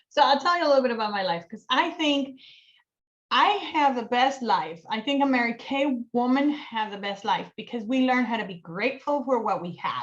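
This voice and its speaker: A high-pitched woman's voice with a Colombian accent, animated in tone, with lively intonation, big swings in loudness and a moderate pace. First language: Spanish. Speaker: cosmetics sales director. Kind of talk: casual interview chat.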